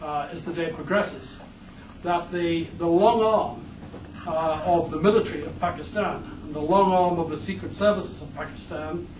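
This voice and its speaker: A man with an English accent speaks at a moderate pace in a high voice, his pitch varying in an ordinary way and his loudness swinging widely, over noticeable background noise and audible room echo. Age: 60s. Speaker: criminal defence lawyer. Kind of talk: conference speech. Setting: conference hall. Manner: halting, many fillers.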